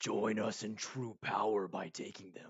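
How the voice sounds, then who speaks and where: A man puts on a booming, raspy character voice, pitched fairly low and delivered at a moderate pace. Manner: commanding, tempting.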